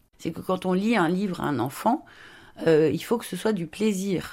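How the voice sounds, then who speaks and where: A woman's unremarkable speaking voice, fairly low-pitched, with lively intonation at a moderate pace. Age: 50s. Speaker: children's book illustrator. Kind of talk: interview.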